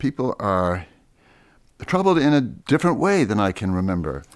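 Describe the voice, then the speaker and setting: Moving at a moderate pace, a man with a plain, everyday voice speaks at a fairly low pitch. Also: very clean recording, silent background. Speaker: radio host. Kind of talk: interview.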